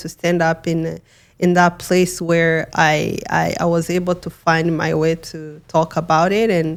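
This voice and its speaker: A woman speaks in a fairly low pitch with a Rwandan accent. The recording is very clean, with a silent background. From Rwanda, western province. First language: Kinyarwanda. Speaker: genocide survivor and human rights advocate. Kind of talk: interview testimony. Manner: halting, with many repetitions and fillers.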